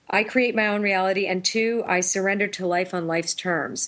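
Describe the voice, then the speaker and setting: In an ordinary speaking voice, a woman talks at a fairly quick pace with ordinary pitch variation. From Toronto, Canada. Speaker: intuitive, author and singer. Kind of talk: interview chat.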